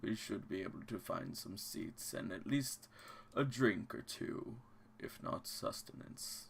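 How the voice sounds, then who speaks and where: In a put-on character voice, a man talks at a fairly slow pace. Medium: actual play. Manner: jovial, polite.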